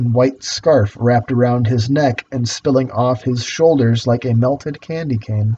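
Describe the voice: What we hear is plain reading aloud.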